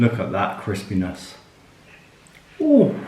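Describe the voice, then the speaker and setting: Noticeable background noise is present throughout. A man talks amid audible room echo. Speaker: cooking vlogger. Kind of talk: cooking tutorial. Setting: at home.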